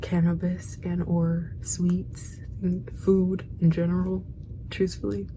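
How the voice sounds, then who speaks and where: A woman at a very slow pace, with audible room echo. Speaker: video diarist. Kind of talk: casual monologue. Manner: halting.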